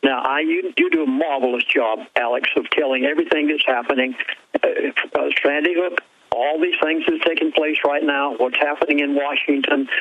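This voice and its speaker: A man talks at a fairly quick pace with very even loudness. Noticeable background noise runs under his voice. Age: 70s. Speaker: pastor. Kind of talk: radio interview.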